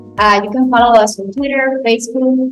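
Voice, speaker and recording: The speaker is a woman. Her speech comes with a Spanish accent. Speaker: podcast host. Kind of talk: interview. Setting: live recording with audience.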